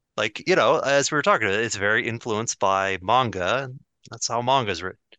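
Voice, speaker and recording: Against a quiet background, a man speaks in an ordinary speaking voice at a moderate pace with ordinary pitch variation. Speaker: podcast co-host. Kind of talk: casual chat.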